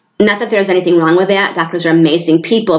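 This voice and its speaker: With an American accent, a woman speaks at a fairly low pitch and with fairly even intonation. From New York State. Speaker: hormone therapy business owner. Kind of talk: informal presentation to a group. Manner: fast.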